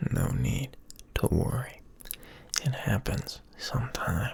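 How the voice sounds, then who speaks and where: Whispering at a very slow pace, the voice comes through noticeable background noise. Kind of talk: soft-spoken ASMR ramble. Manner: soft-spoken.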